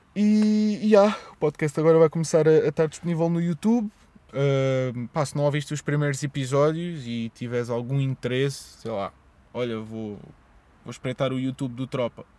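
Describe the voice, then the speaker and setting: In a European Portuguese accent, the speaker talks at a moderate pace with lively intonation and a dark, mellow tone, the sound dry and close with no echo. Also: man. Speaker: podcaster. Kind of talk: solo monologue podcast. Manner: stuttering, hesitant; casual, rambling.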